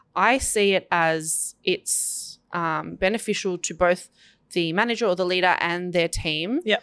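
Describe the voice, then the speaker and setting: With a plain, everyday voice of medium pitch, a woman speaks at a fairly slow pace with ordinary pitch variation in a very clean recording with a silent background. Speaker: marketing podcast co-host. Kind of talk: casual business chat.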